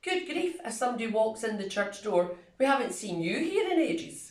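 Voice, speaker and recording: A woman with a Scottish accent speaks at a moderate pace, fairly high in pitch with very wide pitch swings, in audible room echo. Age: 60s. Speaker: retiring church minister. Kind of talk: video reflection.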